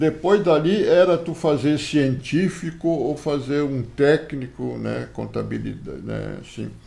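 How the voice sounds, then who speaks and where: Audible room echo surrounds a man who talks at a fairly slow pace. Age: 70s. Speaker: grandfather interviewed for school project. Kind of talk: interview. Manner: hesitant, frequent filler words.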